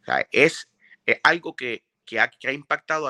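Against a quiet background, a man speaks at a fairly slow pace in a bright, sharp tone, the sound dry and close with no echo. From Puerto Rico (Carolina, Bayamón). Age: 40s. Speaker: music producer. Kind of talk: interview.

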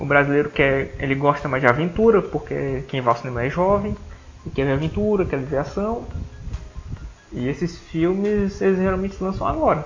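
With music in the background, a man talks at a moderate pace in a fairly high pitch with lively intonation. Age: 20s. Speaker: podcast host. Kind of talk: casual chat. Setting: at home.

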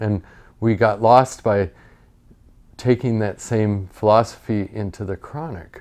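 Recorded very cleanly on a silent background, a man with an American accent uses an ordinary speaking voice, fairly low in pitch, at a moderate pace with ordinary pitch variation. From Montana, US. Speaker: family doctor. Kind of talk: casual interview chat. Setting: in person, visiting host in studio.

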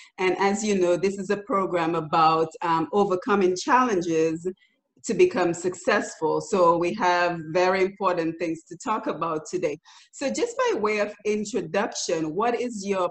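At a moderate pace and with ordinary pitch variation, a woman talks in an unremarkable speaking voice. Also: medium pitch for a woman. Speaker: radio host and youth development advocate. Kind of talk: radio interview show. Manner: polite and formal.

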